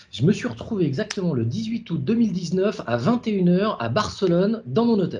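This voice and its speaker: High male voice with very wide pitch swings, fairly slow yet with hardly any pauses, over noticeable background noise. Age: 40s. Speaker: app founder, former executive. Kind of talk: interview. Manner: halting, many repetitions.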